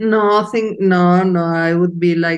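A woman talks at a slow pace. Her pitch is fairly low.

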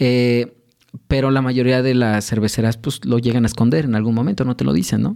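A man's dark, mellow voice at medium pitch with a Mexico City accent, fairly quick pace, very even loudness and ordinary pitch variation. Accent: Mexican Spanish (Mexico City). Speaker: sommelier and brewery co-founder. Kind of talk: casual interview with tasting. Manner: hesitant, many fillers.

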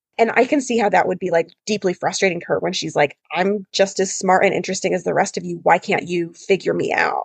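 Speaking at a fairly quick pace with hardly any pauses, a woman of medium pitch shows vocal fry and ordinary pitch variation in a dry, close sound with no echo. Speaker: podcast co-host, lawyer. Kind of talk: casual chat. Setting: studio. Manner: animated, laughs often.

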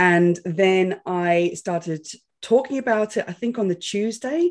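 Her pitch is medium, and it varies in an ordinary way. The woman keeps a moderate pace. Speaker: podcast host and entrepreneur. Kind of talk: interview as guest, casual chat. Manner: animated, talks with her hands.

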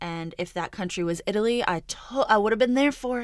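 A woman's normal speaking voice at a moderate pace, with ordinary pitch variation on a very clean recording with a silent background. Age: 30s. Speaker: podcast host and entrepreneur. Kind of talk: solo monologue podcast. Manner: casual, conversational.

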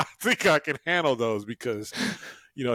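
This man's accent is American. His sound is dry and close, with no echo. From US West, Fresno, California. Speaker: businessman. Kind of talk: interview. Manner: animated.

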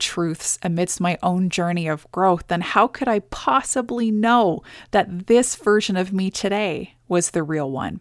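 A woman with an unremarkable speaking voice talks at a fairly slow pace with ordinary pitch variation, the sound dry and close with no echo on a very clean recording with a silent background. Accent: Canadian. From Canada. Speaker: podcast host and business coach. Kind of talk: scripted monologue. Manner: earnest.

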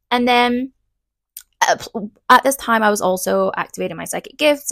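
Someone with an English accent speaks at a moderate pace with big swings in loudness, on a very clean recording with a silent background and a dry, close sound with no echo. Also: woman. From England. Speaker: podcast host and past life regression therapist. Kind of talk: solo podcast monologue.

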